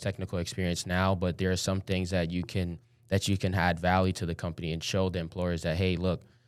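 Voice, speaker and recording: On a very clean recording with a silent background, a man with an American accent talks very fast in a very deep, low pitch and a monotone, flat intonation. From Brooklyn, New York. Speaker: cybersecurity student. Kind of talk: podcast interview.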